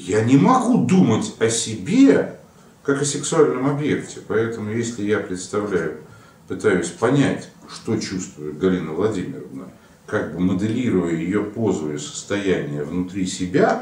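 Amid audible room echo, a man speaks at a fairly low pitch and fairly slow pace. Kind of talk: lecture-style explanation to camera. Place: office.

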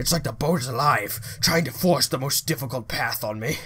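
A man's put-on character voice, raspy and at a medium pitch. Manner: anxious, worried.

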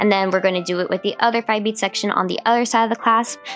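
A woman talks with ordinary pitch variation. Music can be heard behind her. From US West Coast, Los Angeles. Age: 20s. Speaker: craft tutorial creator. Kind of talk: tutorial. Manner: casual.

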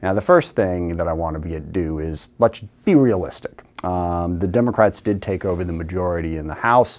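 At a fairly quick pace, a man talks in a very deep, low pitch with fairly even intonation. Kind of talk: recorded address to camera. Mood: earnest, policy argument. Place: studio. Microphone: lapel.

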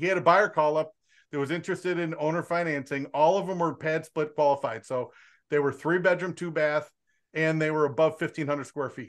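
This is a man with an ordinary speaking voice and fairly high pitch. He talks at a fairly quick pace with fairly even intonation over a quiet background. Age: 50s. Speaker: real estate wholesaling coach. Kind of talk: casual group call. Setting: video call. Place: home room. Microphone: studio mic.

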